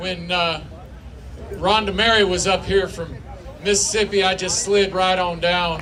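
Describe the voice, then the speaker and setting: In a room with audible echo and noticeable background noise, a man with a high pitch projects his raised voice at a fairly slow pace, using monotone, flat intonation and long, frequent pauses. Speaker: event emcee. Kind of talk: speaker introduction.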